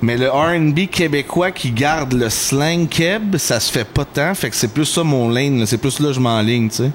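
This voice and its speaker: Amid noticeable background noise, a man speaks in an animated tone with hardly any pauses. His pitch varies in an ordinary way. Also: fairly high pitch for a man, moderate pace. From Quebec, Mascouche-Masson area. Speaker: R&B and rap singer. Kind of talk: casual chat. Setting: podcast recording.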